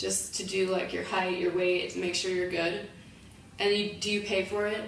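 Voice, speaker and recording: A woman with an American accent speaks at a moderate pace in a medium pitch, her intonation monotone and flat, with audible room echo and noticeable background noise. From United States. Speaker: English language assistant in Spain. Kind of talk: interview. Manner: casual, many fillers.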